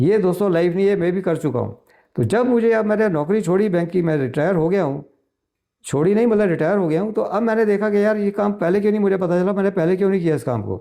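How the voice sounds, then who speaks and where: A man speaks in a high pitch. His tone is dark and mellow. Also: ordinary pitch variation. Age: 70s. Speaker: real estate agent, retired banker. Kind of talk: informational talk to camera. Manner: conversational, repetitive fillers.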